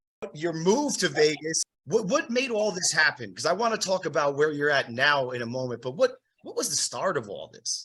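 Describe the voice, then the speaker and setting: A man with an East Coast accent speaks at a fairly high pitch, swinging very widely up and down. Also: moderate pace. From New Jersey. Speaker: podcast host and drummer. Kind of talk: casual interview chat.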